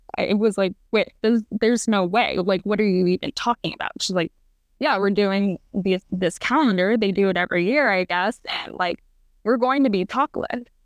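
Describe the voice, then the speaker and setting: At a moderate pace, a woman speaks at medium pitch with ordinary pitch variation in a plain, everyday voice. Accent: General American. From Arizona. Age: 20s. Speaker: professional volleyball player. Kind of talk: interview.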